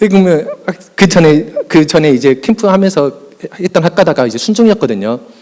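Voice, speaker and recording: Amid noticeable background noise, a man talks at a high pitch and fairly quick pace with lively intonation. He takes long, frequent pauses. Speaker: youth pastor. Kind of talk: conference presentation. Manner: fast; animated.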